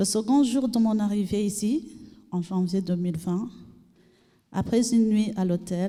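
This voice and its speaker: A woman with a dark, mellow tone and medium pitch speaks at a very slow pace, somewhat breathy, with ordinary pitch variation. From Burundi. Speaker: refugee, trainee. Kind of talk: testimony.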